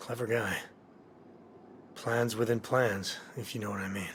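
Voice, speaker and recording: A man puts on a character voice that is raspy and calm, pitched in the middle range. His delivery is monotone and flat at a moderate pace, with clear background noise behind him. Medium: video game. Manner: calm, dry.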